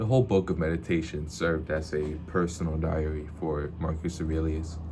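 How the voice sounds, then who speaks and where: A dark, mellow tone, somewhat breathy and at a fairly quick pace, with fairly even intonation and audible room echo. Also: man, very deep, low pitch for a man. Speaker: book reviewer / vlogger. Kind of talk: casual video monologue. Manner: halting, repeats words.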